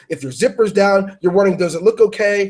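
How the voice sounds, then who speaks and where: A man speaks loudly at a very fast pace in a high voice. His tone is animated. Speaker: webinar host. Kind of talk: webinar talk. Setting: online webinar.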